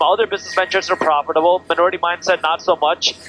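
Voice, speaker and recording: With music playing behind him, a high-pitched man talks very fast in a flat monotone, the sound dry and close with no echo. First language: not English. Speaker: finance educator and content creator. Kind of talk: casual interview. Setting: helicopter.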